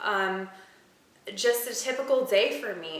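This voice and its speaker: A woman speaks in a room with audible echo. Noticeable background noise is present. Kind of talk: personal vlog monologue. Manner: hesitant, many fillers.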